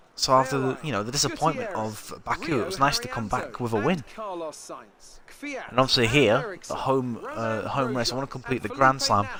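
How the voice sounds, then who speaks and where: A man with a northern English accent, medium pitch, ordinary pitch variation and a moderate pace, amid noticeable background noise. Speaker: gaming streamer. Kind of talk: live gameplay commentary. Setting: live stream. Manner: casual, halting with fillers.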